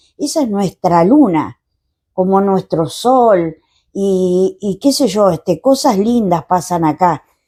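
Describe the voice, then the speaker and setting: A woman speaks very slowly at a medium pitch, her tone dark and mellow and her intonation lively. The recording is very clean, with a silent background. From Argentina, Patagonia (Chubut / Tierra del Fuego countryside). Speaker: poet. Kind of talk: interview.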